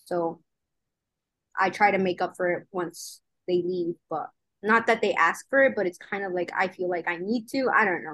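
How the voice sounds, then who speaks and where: A woman in a normal speaking voice at a medium pitch, moderate pace and ordinary pitch variation, against a quiet background. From US Midwest, Michigan, Mexican-American migrant family. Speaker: mechanical engineer. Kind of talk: casual chat.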